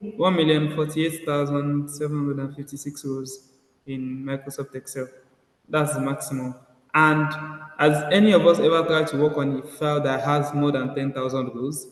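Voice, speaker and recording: This man speaks at a moderate pace in a fairly high pitch with fairly even intonation. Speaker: data analytics instructor. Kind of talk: online class tutorial. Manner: halting, many fillers.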